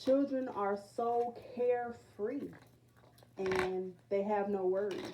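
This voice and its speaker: Speaking at a very slow pace, a woman uses a medium pitch with ordinary pitch variation. Noticeable background noise runs underneath. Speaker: spiritual reader. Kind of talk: casual monologue. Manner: halting, many fillers.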